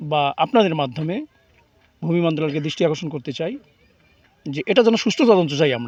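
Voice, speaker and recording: A man speaks in a normal speaking voice, pitched fairly high. His intonation is lively. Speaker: local resident protester. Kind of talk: protest speech to reporters.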